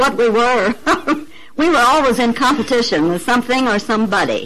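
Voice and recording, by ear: A woman with an American accent speaks at a moderate pace in a fairly high pitch, with lively intonation and a fairly bright tone.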